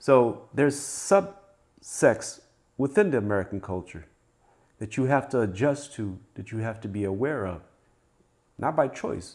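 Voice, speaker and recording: A man with an African accent and medium pitch speaks at a fairly slow pace, using lively intonation and long, frequent pauses. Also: big swings in loudness. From Africa, raised in the United States. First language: African language. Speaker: wealth guest. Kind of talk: casual conversation.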